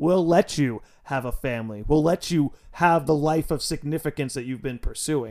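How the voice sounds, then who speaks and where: With an American accent, a man speaks in an unremarkable speaking voice, fairly high in pitch and at a moderate pace, on a very clean recording with a silent background. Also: ordinary pitch variation. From New York. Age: 20s. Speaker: podcast host. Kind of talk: casual chat.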